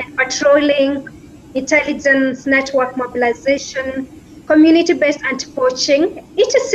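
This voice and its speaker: A woman's high voice at a moderate pace, with ordinary pitch variation and light background noise. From Kenya. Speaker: law student asking a question. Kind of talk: prepared question. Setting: remote video call. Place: home room.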